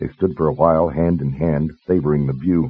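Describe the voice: At a fairly quick pace, a man with an extremely low pitch and a slightly husky edge speaks with fairly even intonation.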